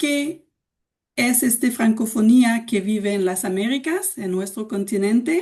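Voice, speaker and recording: At a very slow pace, a woman speaks with a dark, mellow tone and lively intonation. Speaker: cultural organization director presenting. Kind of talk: webinar presentation. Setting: video call from home. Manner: slow, deliberate for learners.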